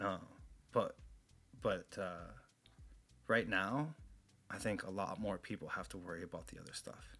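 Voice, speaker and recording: A man's very deep, low voice with vocal fry, a bright, sharp tone, ordinary pitch variation, big swings in loudness, a moderate pace and long, frequent pauses. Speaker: co-host. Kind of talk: casual chat.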